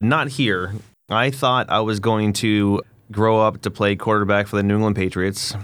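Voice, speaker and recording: An unremarkable speaking voice at a moderate pace, very even in loudness, with fairly even intonation on a very clean recording with a silent background. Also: man, fairly low pitch for a man. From US Northeast, New Hampshire. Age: 40s. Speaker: nonprofit executive director. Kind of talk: casual interview.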